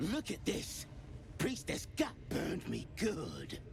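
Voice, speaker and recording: A put-on character voice over loud background noise. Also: fairly slow pace. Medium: video game.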